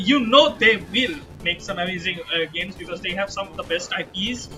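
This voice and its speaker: A man with a non-native accent and a high pitch talks at a fairly quick pace with ordinary pitch variation. His loudness swings widely, and music plays in the background. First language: not English. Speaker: gaming streamer. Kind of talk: casual chat. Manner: halting.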